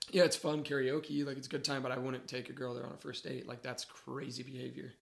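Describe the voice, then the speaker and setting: A man's medium-pitched voice with vocal fry at a very fast pace, monotone and flat in intonation, with big swings in loudness. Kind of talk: casual chat. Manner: fast, full of filler words.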